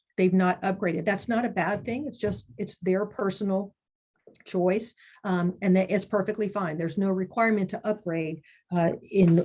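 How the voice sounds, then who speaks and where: A woman's somewhat breathy voice has a dark, mellow tone as she speaks at a moderate pace. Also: medium pitch for a woman, fairly even intonation. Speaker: committee chair presenting to advocates. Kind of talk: webinar presentation. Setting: online webinar.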